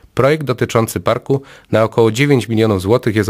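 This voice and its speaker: A man speaks against a quiet background. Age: 30s. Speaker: local election candidate. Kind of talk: campaign speech. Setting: studio. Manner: formal. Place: studio.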